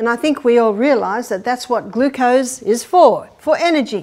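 There is a woman speaking over a quiet background. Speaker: health lecturer. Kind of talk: lecture. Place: hall.

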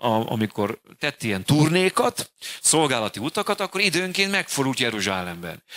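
A man's bright, sharp voice with very wide pitch swings, at a moderate pace against a quiet background. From Hungary. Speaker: pastor. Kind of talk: sermon. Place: church. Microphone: handheld.

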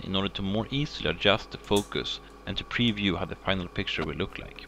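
With music in the background, a man speaks very fast in a Swedish accent. His pitch is fairly low, with ordinary variation. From Sweden. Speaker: hobbyist science demonstrator. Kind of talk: tutorial. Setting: living room at home. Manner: formal.

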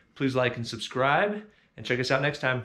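Lively intonation marks this man's speech. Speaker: car builder vlogger. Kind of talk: casual vlog chat. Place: garage. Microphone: phone near.

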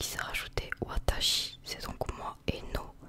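Whispering in a relaxed tone, a woman speaks at a very slow pace. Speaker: ASMR content creator acting as a Japanese teacher. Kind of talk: ASMR roleplay lesson for sleep. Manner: soft, slow, relaxed, casual. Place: home room. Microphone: studio mic.

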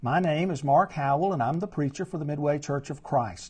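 Dark and mellow in tone, a man's somewhat breathy voice shows ordinary pitch variation. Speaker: preacher. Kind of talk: church announcements and Bible study talk. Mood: warm, earnest. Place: home room. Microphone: lapel.

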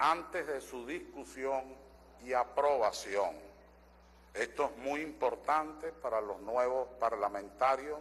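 Very slow speech from a man, with ordinary pitch variation. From Venezuela. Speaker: constitutional lawyer and assembly member; constitutional lawyer. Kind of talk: parliamentary speech. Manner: formal. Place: hall. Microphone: podium.

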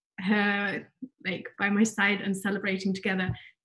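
A woman's somewhat breathy, fairly slow speech against a quiet background. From UK. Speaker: developer advocate; conference presenter. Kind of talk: conference talk. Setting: virtual online event. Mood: warm, chatty. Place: home room. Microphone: webcam.

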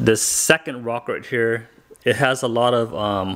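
This man speaks at a moderate pace with fairly even intonation. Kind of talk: casual vlog chat. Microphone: phone near.

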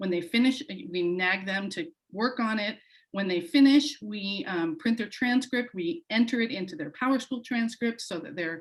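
This woman's somewhat breathy voice carries lively intonation. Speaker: high school counselor. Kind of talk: public meeting presentation. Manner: fast.

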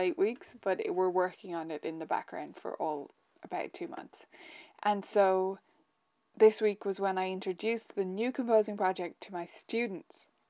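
A woman's fairly even intonation at a moderate pace over a quiet background. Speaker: piano teacher. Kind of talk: casual live stream chat. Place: home room.

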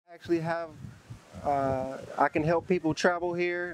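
Over light background noise, a man speaks at a moderate pace, the sound dry with no echo. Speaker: interviewee. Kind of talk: interview answer. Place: beach.

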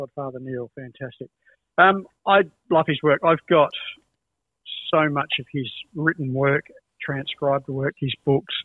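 A man with an Australian accent speaks at a fairly slow pace in a fairly high voice, with fairly even intonation and long, frequent pauses. The sound is dry with no echo, over a quiet background. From Adelaide, Australia. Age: 60s. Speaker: music educator and guitarist. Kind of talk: casual chat. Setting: video call. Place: home room.

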